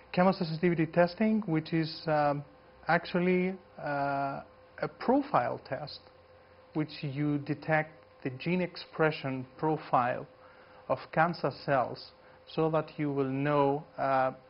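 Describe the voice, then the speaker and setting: A fairly high-pitched man with a Greek accent, fairly slow and with long, frequent pauses. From Greece. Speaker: geneticist. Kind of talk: lecture. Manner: halting.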